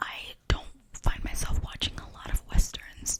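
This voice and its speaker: Noticeable background noise runs under a whisper delivered at a fairly slow pace. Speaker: asmr artist. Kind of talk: asmr whispered movie chat.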